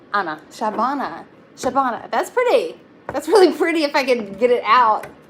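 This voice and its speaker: The speaker has a Texan accent and talks at a fairly quick pace. Their pitch swings very widely, with noticeable background noise behind them. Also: woman, high pitch for a woman. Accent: Texan twang. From Texas. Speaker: tarot reader. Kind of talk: live-stream tarot reading. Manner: casual, halting with fillers.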